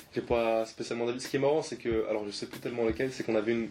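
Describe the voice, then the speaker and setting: A man at a medium pitch speaks with fairly even intonation over noticeable background noise. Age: 20s. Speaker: app startup co-founder. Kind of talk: interview.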